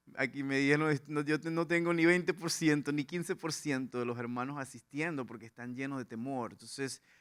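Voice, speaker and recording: A man with a slight Venezuelan accent speaks at a medium pitch. His pace is fairly quick and his pitch variation ordinary. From Venezuela, Lara/Portuguesa plains. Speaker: pastor. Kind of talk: sermon. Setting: church with congregation.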